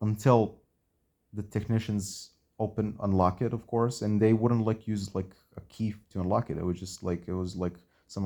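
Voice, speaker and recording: This man has a dark, mellow tone and speaks at a moderate pace with fairly even intonation. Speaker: vlogger telling personal experience. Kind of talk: casual monologue, personal storytelling. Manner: halting, many fillers and repetitions.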